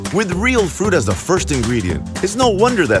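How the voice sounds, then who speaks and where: With music in the background, a man with an American accent talks at a fairly quick pace. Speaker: voice actor. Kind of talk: TV commercial read.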